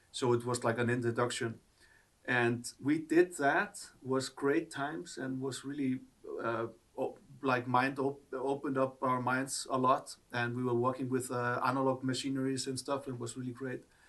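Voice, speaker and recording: A man with an Icelandic accent and fairly even intonation. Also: medium pitch for a man, moderate pace. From Iceland, Reykjavik. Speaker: artist. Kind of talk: interview. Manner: halting.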